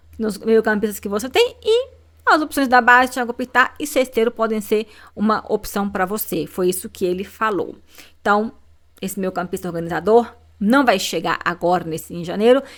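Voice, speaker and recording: A woman speaks at a fairly high pitch, with ordinary pitch variation. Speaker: football YouTuber. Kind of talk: casual commentary video. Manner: fast.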